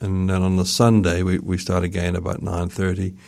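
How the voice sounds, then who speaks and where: Speaking at a moderate pace with a New Zealand accent, a man uses a very deep, low pitch and a monotone, flat intonation. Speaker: festival organizer. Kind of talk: radio interview.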